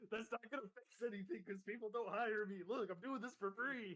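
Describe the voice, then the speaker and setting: Putting on a character voice, a man talks at a fairly quick pace with a high pitch and fairly even intonation. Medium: actual play. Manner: blunt, casual, profane.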